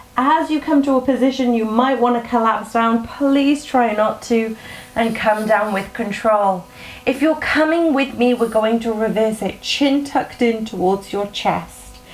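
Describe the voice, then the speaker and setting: A woman's fairly high voice at a fairly slow pace, with noticeable background noise. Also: ordinary pitch variation. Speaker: fitness instructor. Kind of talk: workout instruction. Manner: encouraging, instructive.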